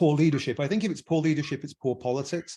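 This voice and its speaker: In an English accent, a man speaks with a dark, mellow tone against a quiet background. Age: 60s. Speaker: businessman, podcast panelist. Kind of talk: podcast discussion. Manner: halting.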